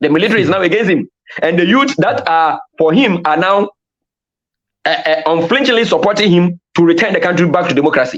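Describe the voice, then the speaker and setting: A man speaks with a high pitch and lively intonation. His loudness stays very even at a fairly quick pace. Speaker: security analyst. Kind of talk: podcast interview. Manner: fast; animated.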